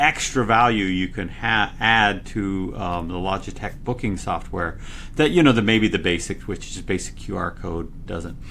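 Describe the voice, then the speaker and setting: With an American accent, a man at medium pitch speaks with lively intonation. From Utah. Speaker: tech company engineer. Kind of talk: casual interview. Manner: gets louder when excited.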